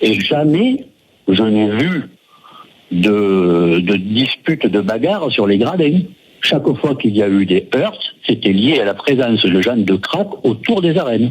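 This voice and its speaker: Speaking at a very slow pace, a man with a medium pitch makes very wide pitch swings while keeping his loudness very even, over noticeable background noise. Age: 60s. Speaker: caller, bullfighting fan. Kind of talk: radio phone-in debate.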